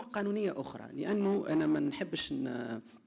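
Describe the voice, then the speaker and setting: Against a quiet background, a man with a high pitch and a dark, mellow tone speaks with very wide pitch swings. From Tunisia. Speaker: law lecturer; panelist, law lecturer. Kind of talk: conference presentation; panel discussion.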